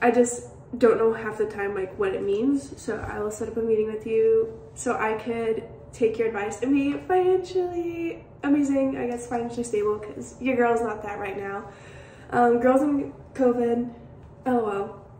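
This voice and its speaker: With light background noise and audible room echo, a woman talks at a moderate pace in a fairly high pitch. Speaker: college student. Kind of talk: recorded tribute message. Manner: animated. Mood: warm, grateful, playful. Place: home room. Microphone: phone near.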